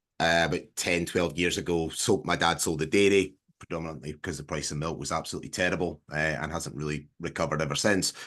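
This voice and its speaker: A man with a Scottish accent speaks at a very fast pace with hardly any pauses. His very deep, low voice keeps fairly even intonation against a quiet background. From southwest Scotland. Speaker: farmer and agricultural marketer. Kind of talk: casual interview on a video call. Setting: video call.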